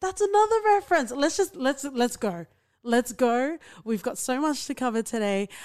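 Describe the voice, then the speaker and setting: A woman in an animated tone. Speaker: podcast host. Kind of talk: casual chat.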